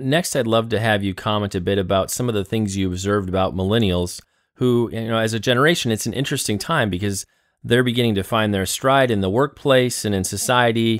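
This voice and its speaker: A man with an ordinary speaking voice at a medium pitch, with ordinary pitch variation and a fairly quick pace. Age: 30s. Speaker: podcast host. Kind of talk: interview.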